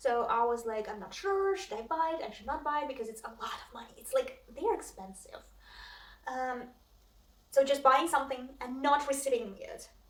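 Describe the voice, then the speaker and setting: The speaker's lively intonation comes with big swings in loudness at a moderate pace, with audible room echo. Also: woman, high pitch for a woman. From Russia. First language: Russian. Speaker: cross stitch vlogger. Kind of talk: casual vlog chat. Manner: hesitant, many fillers.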